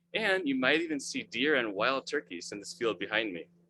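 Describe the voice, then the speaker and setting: This man talks fairly quickly at a medium pitch, with very wide pitch swings and vocal fry. The tone is bright and sharp, and the sound is dry and close with no echo. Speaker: webmaster of a religious studies website. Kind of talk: presentation in a video call. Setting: video call. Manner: fast.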